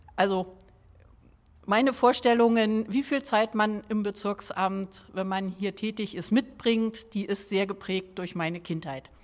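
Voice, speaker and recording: A woman at medium pitch with a plain, everyday voice, ordinary pitch variation and a fairly slow pace. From Berlin (Schöneberg). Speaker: district mayor. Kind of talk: interview.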